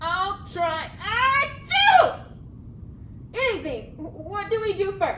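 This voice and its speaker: An extremely high-pitched, cartoonish character voice talks at a fairly slow pace with long, frequent pauses. Loud background noise runs underneath. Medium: puppet. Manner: hesitant, stammering.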